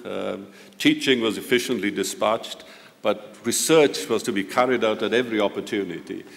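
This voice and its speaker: Moderate pace, a Welsh accent and noticeable background noise. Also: man. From Wales, near Swansea. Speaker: professor. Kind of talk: ceremonial lecture. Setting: auditorium with audience. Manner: halting.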